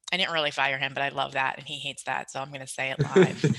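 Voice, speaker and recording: A woman with a New York accent talks at a very fast pace in a very deep, low voice with vocal fry. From New York, Long Island. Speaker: promotional products salesperson. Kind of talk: podcast interview.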